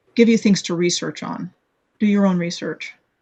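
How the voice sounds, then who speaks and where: A woman with a somewhat breathy, medium-pitched voice speaks at a moderate pace with fairly even intonation. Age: 60s. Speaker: blogger and video maker on hidden history. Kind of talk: interview. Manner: halting, many fillers and restarts.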